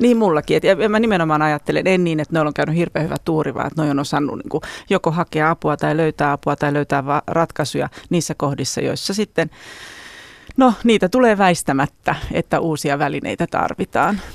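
A woman with a very deep, low voice speaks at a moderate pace. Her intonation is lively, and the sound is dry and close with no echo. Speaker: relationship educator and author. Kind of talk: interview.

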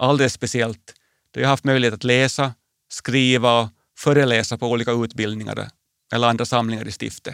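Fairly even intonation at a fairly quick pace, in a dry, close sound with no echo. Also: man. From Finland, Swedish-speaking (Porvoo area). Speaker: bishop. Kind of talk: personal radio essay. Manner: calm, reflective.

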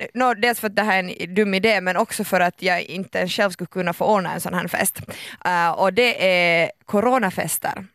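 A moderate pace in a very clean recording with a silent background and a dry, close sound with no echo. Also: woman, medium pitch for a woman. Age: 20s. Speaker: radio host. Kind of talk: casual chat. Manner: animated; halting.

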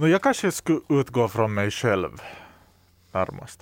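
The sound is dry and close with no echo as a man in an ordinary speaking voice talks at medium pitch and a fairly slow pace. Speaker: podcast host. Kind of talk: casual chat.

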